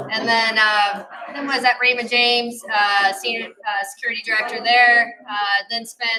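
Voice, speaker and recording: A woman's fairly high voice in an American accent, at a moderate pace with fairly even intonation. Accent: slight twang from Ohio and Arkansas. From US Midwest, Ohio. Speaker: corporate security executive. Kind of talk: panel discussion.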